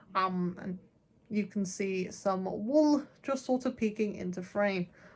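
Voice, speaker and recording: On a very clean recording with a silent background, a woman speaks at a very slow pace in a somewhat breathy voice. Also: medium pitch for a woman. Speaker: book vlogger. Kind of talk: casual chat. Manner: monotone.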